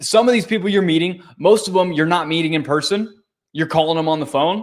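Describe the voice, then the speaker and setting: This man talks at a fairly quick pace, his fairly high voice showing ordinary pitch variation. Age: 20s. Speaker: real estate wholesaler and coach. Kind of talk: interview. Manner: animated.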